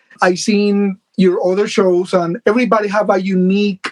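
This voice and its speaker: The man speaks in a Puerto Rican accent at a high pitch with fairly even intonation. The sound is dry and close, with no echo. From Puerto Rico. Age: 50s. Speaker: doll collector. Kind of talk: casual interview chat.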